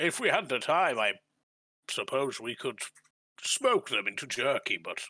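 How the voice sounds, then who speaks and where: A man puts on a character voice at a fairly high pitch. He moves at a moderate pace, broken by long, frequent pauses. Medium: actual play.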